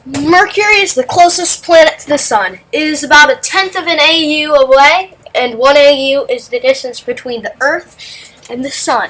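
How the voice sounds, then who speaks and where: High-pitched female speech with noticeable noise in the background. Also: moderate pace, big swings in loudness. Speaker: amateur science video narrator. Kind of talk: casual educational explainer over simulator footage. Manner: animated, halting with restarts.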